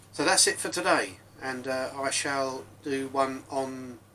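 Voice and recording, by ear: A man speaks at a medium pitch in a bright, sharp tone.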